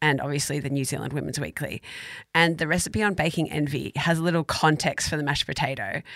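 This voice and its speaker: A woman with an Australian accent talks at a very fast pace with a very deep, low pitch, vocal fry and ordinary pitch variation, on a very clean recording with a silent background. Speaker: food podcast co-host. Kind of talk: casual chat.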